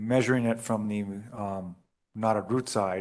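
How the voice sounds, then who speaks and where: A man's fairly low voice at a moderate pace. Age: 60s. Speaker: zoning board member. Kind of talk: public meeting discussion. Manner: halting.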